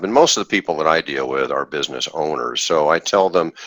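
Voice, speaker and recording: Lively intonation at a moderate pace, dry and close with no echo, over noticeable background noise. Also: man. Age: 60s. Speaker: investor, former orthodontist. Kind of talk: podcast interview. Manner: halting, with repeated words.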